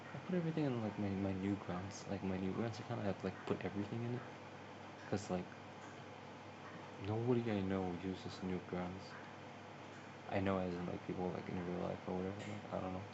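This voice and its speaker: Speaking at a fairly quick pace with long, frequent pauses, a man is heard over noticeable background noise and audible room echo. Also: fairly low pitch for a man, ordinary pitch variation. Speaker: gaming YouTuber. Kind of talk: casual vlog chat. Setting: at home at a table. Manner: soft-spoken; halting. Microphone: phone on table, no microphone.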